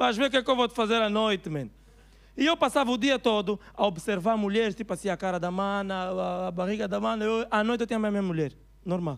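Speaking at a very fast pace in an Angolan accent, a man uses a high pitch with ordinary pitch variation against a quiet background. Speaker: stand-up comedian. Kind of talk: stand-up comedy routine. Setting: stage with audience, live comedy club. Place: stage. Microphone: handheld.

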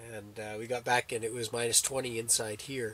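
A man speaks in a monotone, flat way at a moderate pace, with a dry sound with no echo and light background noise. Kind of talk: casual vlog chat. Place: tent. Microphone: camera far.

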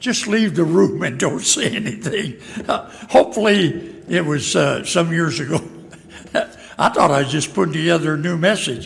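At a moderate pace, a man speaks with a high pitch and ordinary pitch variation. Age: old. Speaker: pastor. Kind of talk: sermon. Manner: halting. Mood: light, self-deprecating humor. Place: church. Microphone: podium.

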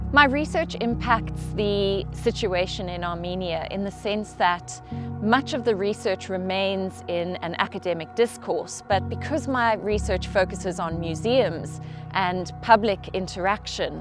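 Music in the background behind a woman's medium-pitched voice, lively in intonation and at a fairly slow pace. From South Africa. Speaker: researcher. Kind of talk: interview.

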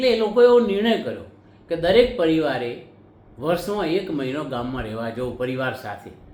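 A fairly high-pitched man's voice with very wide pitch swings and big swings in loudness, amid audible room echo. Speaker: YouTube commentator. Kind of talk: monologue to camera.

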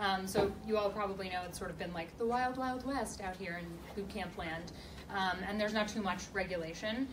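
A woman speaks at a fairly quick pace with ordinary pitch variation. Noticeable background noise runs underneath. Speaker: panelist. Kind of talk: Q&A panel answer. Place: meeting room. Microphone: camera far.

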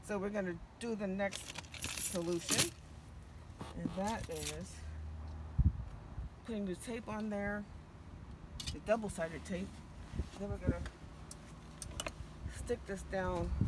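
Over loud background noise, a woman speaks at a very slow pace with long, frequent pauses, the sound dry with no echo. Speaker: how-to vlogger. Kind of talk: tutorial. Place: car. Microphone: camera far.

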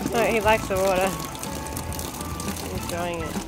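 Clear music in the background and a dry sound with no echo. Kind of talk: casual vlog chat. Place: garden. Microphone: phone near.

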